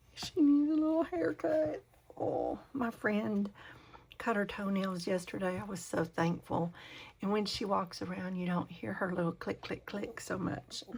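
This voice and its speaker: Whispering at a fairly slow pace, a woman sounds somewhat breathy. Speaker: crafting channel host. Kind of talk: casual craft tutorial talk. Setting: home, talking to camera. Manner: hesitant, with many fillers.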